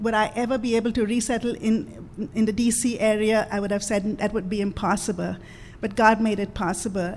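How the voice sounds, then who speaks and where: Her voice sits fairly high and sounds somewhat breathy as this woman talks. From India. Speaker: missionary. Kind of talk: testimony. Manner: halting, many fillers.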